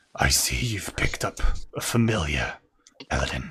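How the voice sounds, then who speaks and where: A man does a put-on character voice with a very deep, low pitch, gravelly, raspy and growling. His pitch swings very widely. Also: moderate pace. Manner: quiet.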